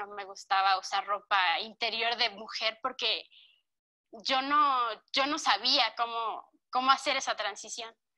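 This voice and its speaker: Delivered at a very slow pace in a central Mexican accent, the voice has a bright, sharp tone. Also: woman. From Mexico, Cuernavaca, Morelos. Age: 20s. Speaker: interviewee. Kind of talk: testimony.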